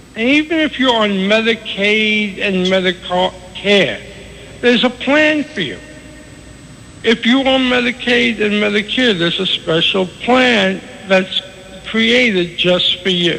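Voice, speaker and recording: Amid noticeable background noise, a man with a high pitch uses a raised, projected voice and lively intonation, speaking at a fairly slow pace with long, frequent pauses. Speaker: financial advisor. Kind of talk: radio interview answer.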